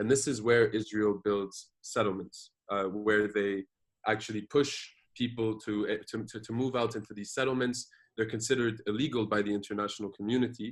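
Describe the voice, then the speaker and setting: This man's fairly low voice moves along at a fairly quick pace. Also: fairly even intonation. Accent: French. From Jordan. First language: French. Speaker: activist and social media influencer. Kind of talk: interview. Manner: code-switching Arabic and English, with frequent fillers and repetitions.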